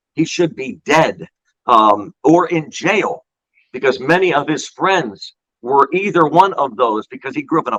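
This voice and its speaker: A man with an American accent speaks fairly slowly in an animated way, his bright, sharp, fairly high voice showing vocal fry and lively intonation in a dry, close recording with no echo. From Pennsylvania. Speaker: baseball play-by-play broadcaster. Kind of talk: podcast interview answer. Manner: storytelling, animated.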